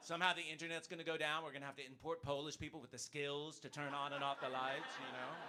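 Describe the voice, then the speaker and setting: A man with an American accent speaks at a very fast pace. His voice is fairly high in pitch, with a bright, sharp tone. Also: hardly any pauses. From United States. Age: 50s. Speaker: stand-up comedian. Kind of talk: stand-up. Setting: stage with audience. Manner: animated.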